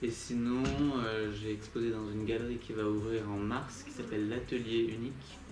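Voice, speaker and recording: A man's medium-pitched voice at a fairly slow pace, with fairly even intonation, audible room echo and music in the background. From southern France, Nîmes. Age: 20s. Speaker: street artist. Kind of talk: interview. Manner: hesitant, many fillers.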